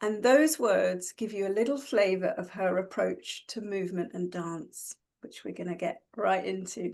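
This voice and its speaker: With an unremarkable speaking voice, a woman of medium pitch talks at a moderate pace, hardly pausing, with ordinary pitch variation and big swings in loudness. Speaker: interviewer and host of a video interview series. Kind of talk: interview host questions.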